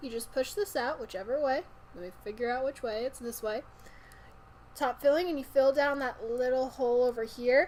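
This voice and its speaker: A woman's high voice with ordinary pitch variation. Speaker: vaping product reviewer. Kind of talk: product review. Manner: fast; upbeat.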